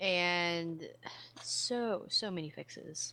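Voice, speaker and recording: A woman with an American accent speaks in a fairly low pitch with a bright, sharp tone. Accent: slight Southern, stronger when angry. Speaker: podcast co-host, gaming news. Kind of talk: casual news reading.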